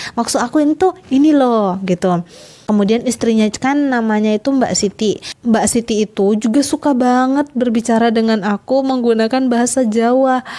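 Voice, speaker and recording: Moderately paced speech from a woman, fairly high in pitch, dark and mellow in tone, with ordinary pitch variation. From Southeast Sulawesi, Indonesia. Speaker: vlogger. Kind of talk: casual vlog talk. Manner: animated.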